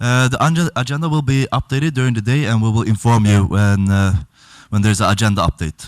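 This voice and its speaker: On a very clean recording with a silent background, a man speaks at medium pitch. He talks very fast with a Swedish accent. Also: ordinary pitch variation, dry, close sound with no echo. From Sweden. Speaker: event chair. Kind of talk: conference announcements. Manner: halting.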